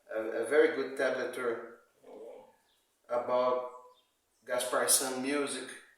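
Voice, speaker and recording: A man speaks at a fairly slow pace with a Brazilian Portuguese accent. His long, frequent pauses carry audible room echo. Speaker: amateur guitar player. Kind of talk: video message to a musician. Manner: halting, many repetitions.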